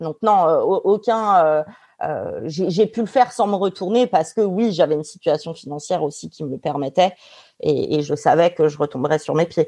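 Over a quiet background, a woman speaks at a fairly slow pace. Her fairly low voice carries lively intonation. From Paris suburbs, France. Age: 30s. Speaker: lawyer. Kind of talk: casual interview. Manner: halting, frequent repetitions.

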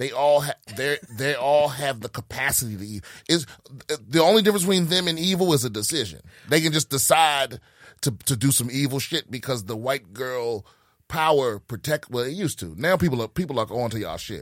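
A man's medium-pitched voice at a fairly quick pace, lively in intonation, in a very clean recording with a silent background. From Prince George's County, Maryland. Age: 40s. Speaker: comedian. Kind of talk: casual chat. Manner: halting.

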